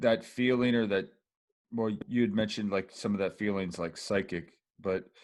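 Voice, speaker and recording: He has a plain, everyday voice. This man talks at a moderate pace, his pitch varying in an ordinary way. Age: 40s. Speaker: podcast host. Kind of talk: interview.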